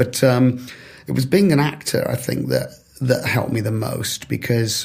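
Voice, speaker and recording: Male speech, somewhat breathy, with ordinary pitch variation. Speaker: developer relations professional. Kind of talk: podcast interview.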